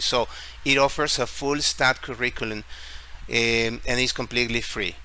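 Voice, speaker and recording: This man's voice sits at a fairly high pitch and moves at a moderate pace. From Ecuador, Guayaquil. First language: Spanish. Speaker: tech YouTuber and English teacher. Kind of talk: screen-share tutorial.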